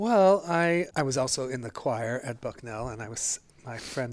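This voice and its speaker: With an American accent, a man speaks in an unremarkable speaking voice at medium pitch with ordinary pitch variation, captured in a very clean recording with a silent background. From northeast Pennsylvania. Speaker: retired dance professor and choreographer. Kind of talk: interview.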